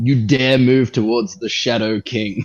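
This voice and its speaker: Over faint music in the background, a man puts on a booming character voice at medium pitch, speaking at a fairly slow pace. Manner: imposing, menacing.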